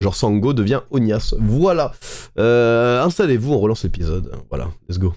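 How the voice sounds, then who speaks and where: Lively intonation marks this man's medium-pitched voice at a moderate pace. The recording is very clean, with a silent background. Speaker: Twitch streamer. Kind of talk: live stream reaction commentary. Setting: live stream. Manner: hesitant, many fillers.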